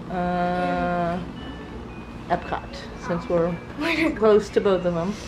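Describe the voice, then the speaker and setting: Over noticeable background noise, a woman speaks very slowly in a fairly low pitch with monotone, flat intonation. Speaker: family vlogger. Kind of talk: casual vlog chat. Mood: cheerful, laughing. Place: home room. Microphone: phone near.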